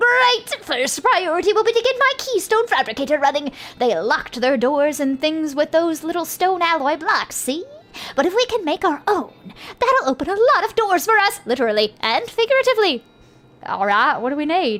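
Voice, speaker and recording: Moving at a moderate pace, a woman does a put-on character voice at an extremely high pitch with very wide pitch swings. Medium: game stream. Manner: eager, chatty.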